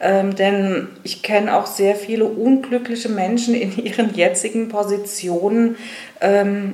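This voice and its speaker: Against noticeable background noise, a woman talks at a fairly slow pace. Her medium-pitched voice carries audible room echo. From Rheinhessen, Germany. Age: 50s. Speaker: funeral director. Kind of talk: interview.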